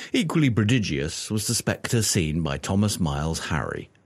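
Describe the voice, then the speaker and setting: A man with a fairly low voice and vocal fry speaks at a moderate pace with very wide pitch swings. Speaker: audiobook narrator. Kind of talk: audiobook reading of a 19th-century book, scripted narration. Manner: steady, measured, formal storytelling pace.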